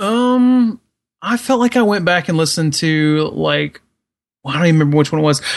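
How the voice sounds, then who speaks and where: In an ordinary speaking voice, a man talks at a fairly quick pace with a fairly high pitch and lively intonation. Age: 30s. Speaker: podcast co-host. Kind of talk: casual chat.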